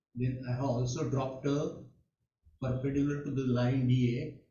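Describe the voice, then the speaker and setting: Over audible room echo, a man at medium pitch speaks in a somewhat breathy voice with fairly even intonation. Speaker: mathematics teacher. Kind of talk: online lecture. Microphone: too quiet at first, then adjusted.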